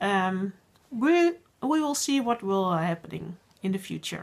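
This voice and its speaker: On a very clean recording with a silent background, a woman with a Dutch accent talks at a fairly slow pace with lively intonation. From Netherlands. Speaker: podcast host, knitting designer and teacher. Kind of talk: casual video podcast monologue. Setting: home working space. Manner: halting, many fillers.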